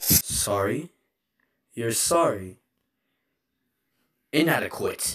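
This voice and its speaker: Someone uses a put-on character voice at a low-to-middle pitch, going at a very slow pace with long, frequent pauses. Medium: dub. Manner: emotional, shifting from pleading to taunting.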